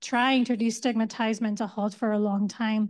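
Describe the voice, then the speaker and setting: Against a quiet background, a woman speaks at a fairly slow pace with a fairly high pitch. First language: Hindi, Urdu or Gujarati. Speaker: community mental health worker, panelist. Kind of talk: panel discussion.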